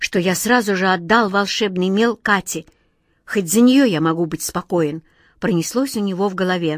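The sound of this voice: An unforced reading voice with ordinary pitch variation and a quiet background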